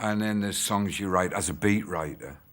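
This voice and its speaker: A man is speaking. He has a Teesside accent. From Middlesbrough, England. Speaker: rock musician. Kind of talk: interview answer.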